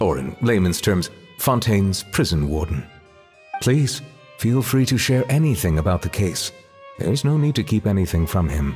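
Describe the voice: A man does a put-on character voice, low in pitch, slightly mellow and with a slightly husky edge. He keeps a moderate pace with big pitch swings as faint music plays in the background.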